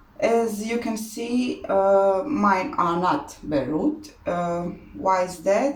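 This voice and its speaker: A woman's voice with audible room echo. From Croatia. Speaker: orchid grower, hobby channel host. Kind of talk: tutorial. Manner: halting, many fillers.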